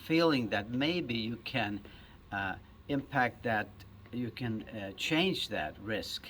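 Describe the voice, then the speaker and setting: A man with a Swedish accent, very slow pace, and lively intonation. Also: medium pitch for a man. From Sweden. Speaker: surgeon. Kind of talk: interview answer. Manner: soft-spoken.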